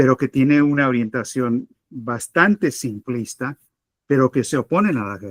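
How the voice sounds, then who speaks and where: A man speaks at a fairly slow pace with a Spanish accent and medium pitch. The sound is dry and close, with no echo. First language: Spanish (speaking Portuguese). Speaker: political analyst. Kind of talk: debate answer.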